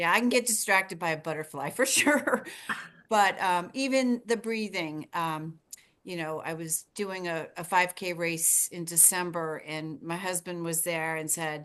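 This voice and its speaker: Over a quiet background, a woman talks fairly slowly in a fairly low pitch. She has an ordinary speaking voice with lively intonation. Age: 60s. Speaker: triathlete participant. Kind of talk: casual chat.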